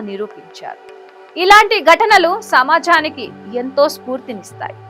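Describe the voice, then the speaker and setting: Music plays behind a woman as she talks. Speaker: news presenter. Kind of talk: news story narration.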